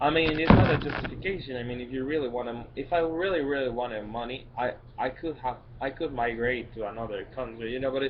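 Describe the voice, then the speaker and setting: A man speaks with a Spanish accent and fairly even intonation. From Mexico, Guadalajara. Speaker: vlogger. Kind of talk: personal vlog monologue. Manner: halting, many fillers and restarts.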